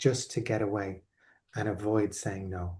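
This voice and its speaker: Against a quiet background, a man with an Irish accent speaks in a somewhat breathy, dark, mellow tone. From Ireland. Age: 40s. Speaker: life coach. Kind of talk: online workshop talk. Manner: hesitant with repetitions.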